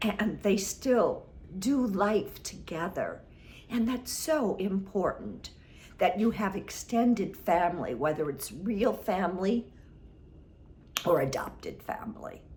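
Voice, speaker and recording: This woman speaks at a very slow pace, leaving long, frequent pauses. Her medium pitch carries lively intonation and vocal fry. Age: 70s. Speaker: relationship advice vlogger. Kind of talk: advice monologue.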